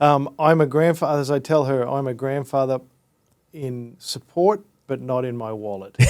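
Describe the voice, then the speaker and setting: With an Australian accent, a man talks at a moderate pace in a medium pitch, using ordinary pitch variation. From Australia, Brisbane. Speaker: entrepreneur. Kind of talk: casual interview.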